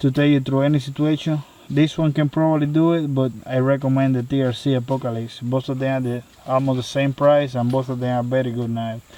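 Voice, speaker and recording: Intonation stays monotone and flat as the words come at a fairly quick clip. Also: man, medium pitch for a man. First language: not English. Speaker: knife reviewer. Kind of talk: product review. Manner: hesitant, many fillers.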